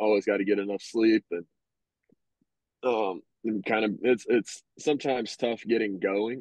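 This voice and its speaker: A man's dry, close voice with no echo, fairly low in pitch, with fairly even intonation and an American accent. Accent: Southern, considered very country. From Arkansas, US South. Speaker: professional baseball player. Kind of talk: podcast interview. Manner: hesitant, many fillers.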